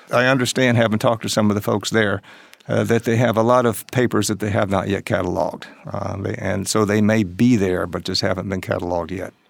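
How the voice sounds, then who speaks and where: Over noticeable background noise, a man with an American accent speaks at a fairly quick pace in a fairly low pitch with fairly even intonation. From Tennessee, US South. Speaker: author and historian. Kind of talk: interview. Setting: studio.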